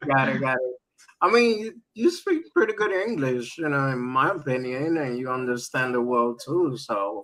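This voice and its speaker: A man speaks with a Spanish accent at a medium pitch. His intonation is lively and his pace moderate. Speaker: crypto streamer. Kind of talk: interview on a live stream. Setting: live stream.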